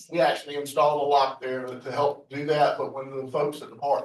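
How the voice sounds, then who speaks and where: A man talks at a fairly quick pace in a fairly high voice. His intonation stays monotone and flat. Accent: Southern US. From US South, South Carolina (Richland County). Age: 60s. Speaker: public commenter at board meeting. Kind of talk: public comment. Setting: public meeting.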